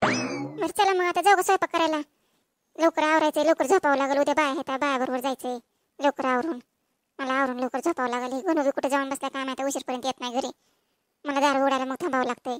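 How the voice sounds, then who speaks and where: A woman uses a cartoonish character voice, high in pitch with ordinary pitch variation, at a fairly quick pace. The recording is very clean with a silent background, dry and close with no echo. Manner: brisk, hurried.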